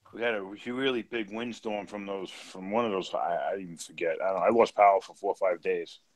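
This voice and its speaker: With a New York accent, a man talks at a moderate pace and a medium pitch. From New York City. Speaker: live stream participant, reef tank hobbyist. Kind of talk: casual chat.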